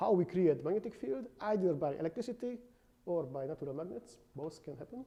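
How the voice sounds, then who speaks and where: A high-pitched man talks at a fairly quick pace. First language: not English. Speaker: university lecturer. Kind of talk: lecture. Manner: halting.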